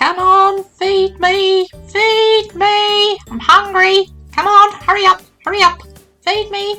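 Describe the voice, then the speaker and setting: A put-on character voice at an extremely high pitch, fairly slow in pace, with faint music in the background. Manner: impatient, pleading.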